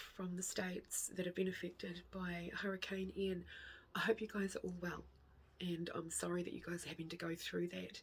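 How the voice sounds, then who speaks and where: The voice is quiet and somewhat breathy, moving at a moderate pace. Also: woman. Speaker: craft vlogger. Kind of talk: casual chat.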